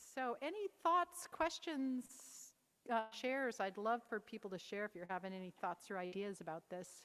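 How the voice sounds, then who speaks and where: A woman with a fairly high pitch talks at a moderate pace, her pitch swinging very widely. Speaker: mental health peer advocate. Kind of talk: conference Q&A. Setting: conference stage with audience. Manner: gentle.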